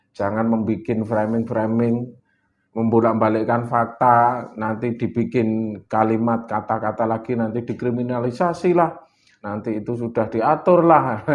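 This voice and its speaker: A man's medium-pitched voice with a Javanese accent, at a fairly slow pace and with ordinary pitch variation. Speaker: political activist. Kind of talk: interview.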